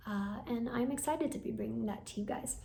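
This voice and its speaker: A woman speaks with very wide pitch swings. Audible room echo surrounds her voice. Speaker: hypnotherapist and meditation channel creator. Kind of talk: personal vlog update. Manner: casual with fillers.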